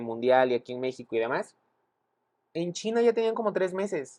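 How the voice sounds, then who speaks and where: Someone with a Mexican accent speaks in an animated tone at a fairly quick pace over a quiet background. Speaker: podcast co-host. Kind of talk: casual chat.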